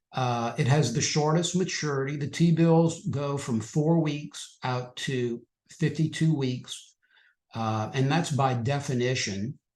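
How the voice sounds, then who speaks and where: A man's fairly high, somewhat breathy voice at a very slow pace with ordinary pitch variation, over a quiet background. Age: 60s. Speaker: financial educator presenting on trading. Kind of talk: webinar presentation. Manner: casual, with fillers and repetitions.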